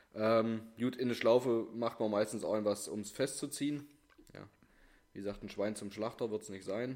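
A man speaks at a moderate pace with a medium pitch. His loudness swings a lot while his intonation stays fairly even. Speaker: podcast co-host. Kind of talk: casual chat.

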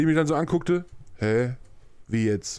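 On a very clean recording with a silent background, a man speaks in an energetic tone at a moderate pace with ordinary pitch variation. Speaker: podcast host. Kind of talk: casual chat. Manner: energetic, euphoric.

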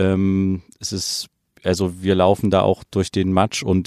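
A man talks in a very deep, low voice. The recording is very clean with a silent background and a dry, close sound free of echo. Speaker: podcast co-host reporting from abroad. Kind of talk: field report interview. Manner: halting with many fillers.

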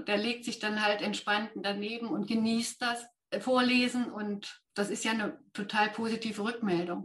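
Using an ordinary speaking voice, a woman talks at a moderate pace and a fairly high pitch, her intonation fairly even. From Thuringia, near Jena. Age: 50s. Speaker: ADHD trainer with therapy dog. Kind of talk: interview.

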